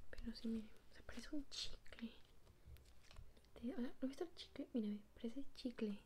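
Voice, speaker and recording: A soft-spoken woman talks at a moderate pace in a fairly high pitch, her tone dark, mellow and relaxed. Light background noise is present. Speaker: ASMR creator. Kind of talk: ASMR slime unboxing, casual talk to camera. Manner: soft-spoken, relaxed. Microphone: phone near.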